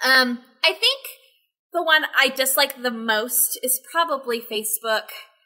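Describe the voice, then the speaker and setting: Against a quiet background, a woman with an American accent uses a raised, projected voice that is high-pitched, bright and sharp, speaking at a fairly slow pace with ordinary pitch variation. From Texas. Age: 20s. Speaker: social media manager; podcast guest. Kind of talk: casual chat. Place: home room.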